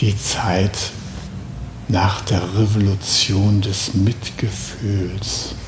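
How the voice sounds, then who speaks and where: With noticeable background noise and audible room echo, a man speaks at a fairly low pitch and a very slow pace, leaving long, frequent pauses. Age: 70s. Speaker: Zen teacher. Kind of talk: dharma talk. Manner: casual, with fillers.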